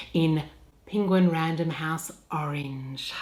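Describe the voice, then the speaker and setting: A woman with an Australian accent speaks at a fairly slow pace. Noticeable background noise is present. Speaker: voice-over artist and audiobook narrator. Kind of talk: humorous talk about her work.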